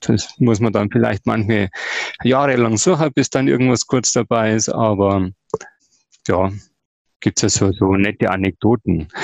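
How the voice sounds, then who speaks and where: Speaking with a Bavarian accent, a man uses fairly low pitch and ordinary pitch variation at a fairly slow pace, with very even loudness and long, frequent pauses. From Ingolstadt, Bavaria. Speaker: sustainability activist. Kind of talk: podcast interview. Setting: virtual studio.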